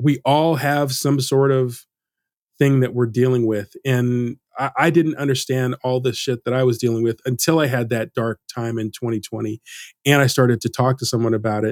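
A man with a normal speaking voice talks at a moderate pace and medium pitch, in a dry, close sound with no echo and a very clean recording with a silent background. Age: 50s. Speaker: motion designer learning character animation. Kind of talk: casual interview conversation.

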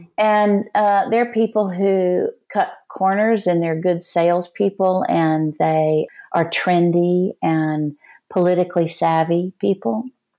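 With a Texan accent and a dark, mellow tone, a woman speaks at a very slow pace with ordinary pitch variation in a very clean recording with a silent background. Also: medium pitch for a woman. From Texas. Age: 60s. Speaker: Enneagram teacher and author. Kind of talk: interview.

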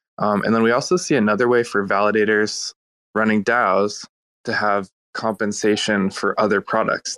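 The man's voice is fairly low in pitch and moves at a moderate pace, with a dry, close sound and no echo. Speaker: blockchain automation developer. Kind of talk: casual panel discussion.

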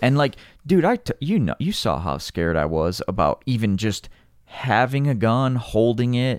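A man with an American accent speaks in a plain, everyday voice at a medium pitch, with lively intonation and a fairly slow pace, in a very clean, dry, close recording with no echo and a silent background. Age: 40s. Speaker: climber. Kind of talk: casual chat.

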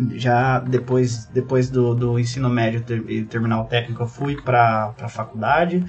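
With music in the background, a man speaks at a fairly slow pace in a medium pitch and fairly even intonation. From Brazil, interior of São Paulo state. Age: 20s. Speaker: cloud manager. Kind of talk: podcast interview.

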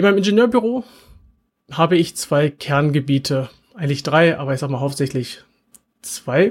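A man's fairly high, somewhat breathy voice at a moderate pace, with lively intonation and long, frequent pauses. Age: 40s. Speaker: podcast host and engineering manager. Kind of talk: webinar presentation; podcast monologue. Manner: casual with filler words.

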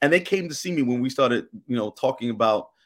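On a very clean recording with a silent background, a man talks fairly quickly at a medium pitch, with lively intonation and a normal speaking voice. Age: 50s. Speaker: state senator. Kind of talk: radio interview.

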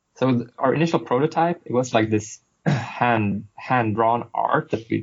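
Somewhat breathy, a man with a Swedish accent speaks at a medium pitch. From Sweden. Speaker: game designer. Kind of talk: casual interview. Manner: halting, many fillers.

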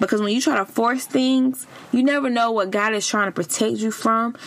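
Her tone animated, a woman speaks at a moderate pace with ordinary pitch variation. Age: 30s. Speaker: podcast host. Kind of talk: casual advice monologue.

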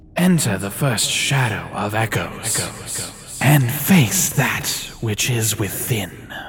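A man puts on a character voice at medium pitch, speaking at a very slow pace. Clear background noise runs underneath. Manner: bossy.

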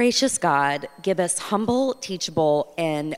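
Fairly low in pitch, a woman speaks at a fairly slow pace. She has an ordinary speaking voice. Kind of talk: prayer and scripture reading.

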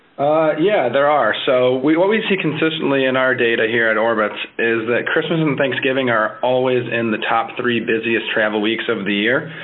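Against noticeable background noise, a man with a medium-pitched voice talks at a moderate pace with ordinary pitch variation, very even loudness and hardly any pauses. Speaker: travel industry expert. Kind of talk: interview, informative advice.

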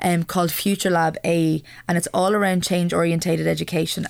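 Speaking with an Irish accent, a woman goes at a fairly quick pace. The recording is very clean with a silent background. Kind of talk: radio interview. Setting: studio.

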